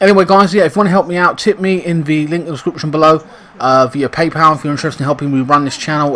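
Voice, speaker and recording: Over noticeable background noise, a man with an English accent talks at a very fast pace. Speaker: gaming YouTuber commentating football sim. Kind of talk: casual gaming commentary. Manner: casual with many fillers.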